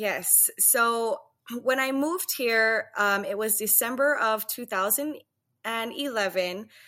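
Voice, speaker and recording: In a Hawaiian accent, a woman with a fairly high pitch and a bright, sharp tone speaks very slowly with ordinary pitch variation, recorded very cleanly against a silent background. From Hawaii, Waianae on Oahu. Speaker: Hawaiian language teacher. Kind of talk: casual interview chat.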